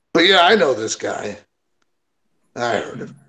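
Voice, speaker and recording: Using a put-on character voice, a man speaks at a high pitch and a moderate pace, his pitch swinging very widely. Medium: actual play. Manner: rambling, offhand.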